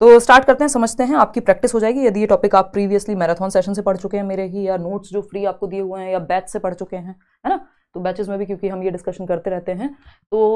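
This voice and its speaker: The woman talks fairly quickly, her pitch varying in an ordinary way, with a quiet background behind her. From India. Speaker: online exam-prep teacher. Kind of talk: live online lecture. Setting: live stream. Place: studio.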